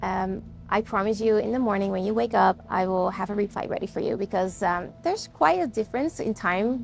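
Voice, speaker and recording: With music in the background, a woman talks at a fairly quick pace. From Netherlands. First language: Dutch. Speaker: podcast host. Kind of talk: personal storytelling. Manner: animated.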